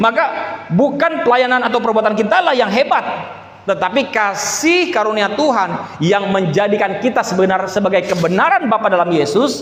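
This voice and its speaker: A man with a high voice talks at a fairly quick pace and with lively intonation, over noticeable background noise and audible room echo. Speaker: pastor. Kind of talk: sermon.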